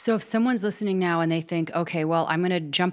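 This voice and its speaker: A woman with a fairly low pitch and an unremarkable speaking voice talks with fairly even intonation on a very clean recording with a silent background. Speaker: podcast host. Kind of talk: podcast interview. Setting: in a wine tasting room.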